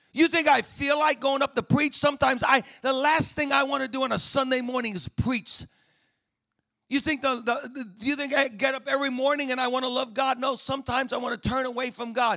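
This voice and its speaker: Speaking at a very fast pace, a man uses an extremely high pitch and a raised, projected voice with an animated, bright, sharp tone. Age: 50s. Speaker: pastor. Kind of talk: sermon. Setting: chapel with live audience. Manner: animated, exhortative preacher cadence with repetition and call-and-response; humorous, lively.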